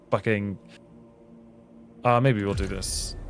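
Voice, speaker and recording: Music can be heard in the background. Over it, a man talks at a medium pitch. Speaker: gaming streamer. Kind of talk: live stream gaming chat; video outro. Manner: casual, animated.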